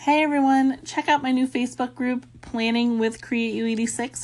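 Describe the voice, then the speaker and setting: At a moderate pace comes a plain, everyday voice. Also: woman. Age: 30s. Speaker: podcast host. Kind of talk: solo podcast monologue.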